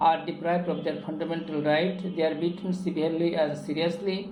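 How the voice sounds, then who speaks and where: A man with a Bengali accent and a high pitch, fairly quick and fairly even in intonation, with audible room echo and noticeable background noise. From Bangladesh. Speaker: English teacher. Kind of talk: lecture. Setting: classroom with students. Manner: halting.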